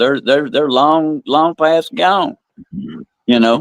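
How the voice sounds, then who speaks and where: Speaking at a fairly slow pace with an American accent, this is an ordinary speaking voice with lively intonation. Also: man. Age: 60s. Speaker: podcast co-host. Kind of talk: casual chat.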